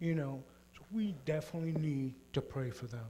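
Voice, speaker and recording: A somewhat breathy man at a fairly high pitch, moderate pace and audible room echo. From Puerto Rico. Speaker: mission trip member. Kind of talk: church presentation testimony.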